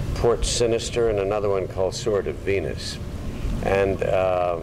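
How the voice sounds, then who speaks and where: A man talks at moderate speed while background noise remains noticeable. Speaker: actor recalling his career. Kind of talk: interview answer. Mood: reminiscent, amused. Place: garden.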